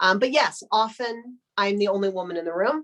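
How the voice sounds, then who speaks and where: An ordinary speaking voice with an American accent, talking at a moderate pace. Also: woman. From United States. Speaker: business strategy executive. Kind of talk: webinar interview. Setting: video webinar.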